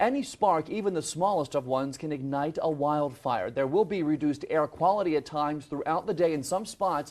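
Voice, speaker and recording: Against a quiet background, a man with an unremarkable speaking voice talks fairly quickly at a fairly high pitch with ordinary pitch variation. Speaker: TV news anchor. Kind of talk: live morning news anchoring. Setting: studio.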